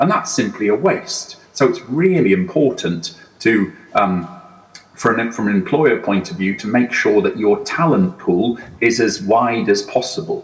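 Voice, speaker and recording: Over noticeable background noise, a man with a British accent talks at a fairly slow pace in a medium pitch, his pitch swinging very widely. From UK. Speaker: HR executive, conference speaker. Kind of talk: conference talk. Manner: hesitant, many fillers.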